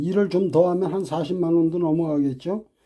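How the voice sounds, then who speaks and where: A man's high-pitched voice, dark and mellow in tone, at a fairly slow pace. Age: 60s. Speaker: private taxi driver. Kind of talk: casual talk to camera.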